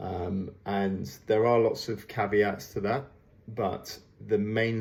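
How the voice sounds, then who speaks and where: A man speaks quietly at a fairly low pitch. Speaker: fitness coach. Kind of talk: workout programming briefing. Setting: at home. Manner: low voice, quiet.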